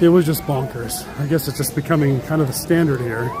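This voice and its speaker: Over music in the background and audible room echo, a man talks in a fairly high pitch with ordinary pitch variation. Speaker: theme park vlogger. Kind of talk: live stream walking tour. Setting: outdoors at a theme park. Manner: fast.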